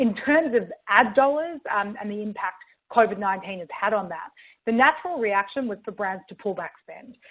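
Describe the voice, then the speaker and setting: With an Australian accent, a woman speaks at a fairly high pitch. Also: lively intonation, moderate pace. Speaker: marketing tech executive. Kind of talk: webinar presentation. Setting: virtual event.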